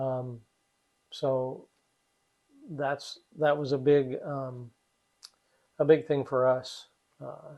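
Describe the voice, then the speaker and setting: A man with a Midwestern American accent speaks at a fairly high pitch in monotone, flat intonation. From US Midwest. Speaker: retiree resident. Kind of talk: casual chat. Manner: halting, many fillers.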